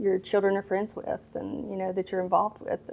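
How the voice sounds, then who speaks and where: A woman's medium-pitched voice, dark and mellow in tone, in a strong Mississippi accent, on a very clean recording with a silent background. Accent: thick Mississippi. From Mississippi, small town. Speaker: pediatrician. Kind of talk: interview. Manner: hesitant, many fillers.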